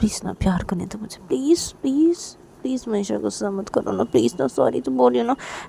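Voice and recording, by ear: Text read aloud in a natural voice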